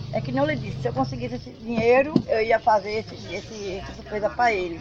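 A woman's voice with noticeable background noise. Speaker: farmer. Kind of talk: interview.

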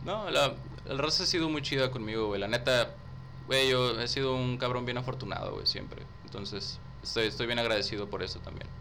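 A man at a moderate pace, with audible room echo. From Tamaulipas, northern Mexico. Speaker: rapper and theatre student. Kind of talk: casual chat.

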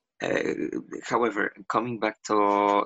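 Speaking with a Polish accent, a man uses fairly even intonation at a fairly low pitch. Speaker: LGBTQ activist. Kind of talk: interview. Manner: halting.

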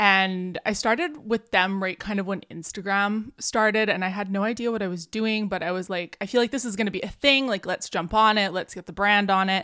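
A woman with a Canadian accent, bright and sharp in tone, at a fairly quick pace with hardly any pauses, on a very clean recording with a silent background. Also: medium pitch for a woman, ordinary pitch variation. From Canada. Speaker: digital marketing agency owner and podcaster. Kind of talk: casual interview.

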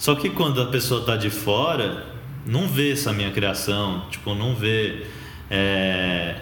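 Speaking at a very slow pace with ordinary pitch variation, the voice comes through with audible room echo and noticeable background noise. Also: man, fairly low pitch for a man. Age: 20s. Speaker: journalist, co-founder of a street-homeless storytelling project. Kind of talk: interview. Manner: casual, many fillers.

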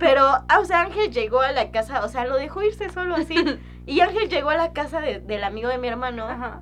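A woman talks fairly quickly in a high voice, her pitch swinging very widely. Music plays behind her. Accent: Mexican. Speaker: podcast co-host. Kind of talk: casual chat.

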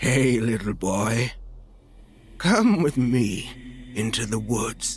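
A put-on character voice moves at a very slow pace with long, frequent pauses. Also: man, medium pitch for a man, ordinary pitch variation. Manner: eerie.

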